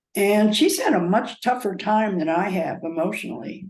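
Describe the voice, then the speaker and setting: Audible room echo surrounds the voice. The delivery is fairly slow. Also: woman. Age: 80s+. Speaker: cancer patient. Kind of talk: interview. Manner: halting.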